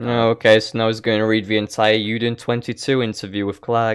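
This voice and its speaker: A man at medium pitch and a moderate pace. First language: not English. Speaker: gaming YouTuber. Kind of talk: reaction commentary. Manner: sarcastic, mocking.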